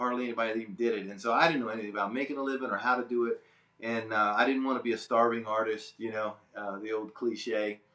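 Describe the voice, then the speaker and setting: A man with an American accent at a very fast pace, his intonation fairly even. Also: medium pitch for a man. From Delaware, US. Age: 60s. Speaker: fine artist. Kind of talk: interview. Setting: art studio. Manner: casual, halting.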